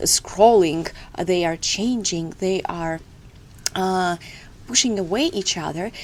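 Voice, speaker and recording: Speaking at a fairly slow pace in a Russian accent, a woman keeps a medium pitch with ordinary variation. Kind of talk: devotional talk to camera. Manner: hesitant, with filler sounds.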